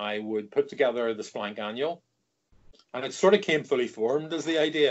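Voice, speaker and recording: A man speaks with a Northern Irish accent. His intonation is lively. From Northern Ireland. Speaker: comics editor and writer. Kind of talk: interview.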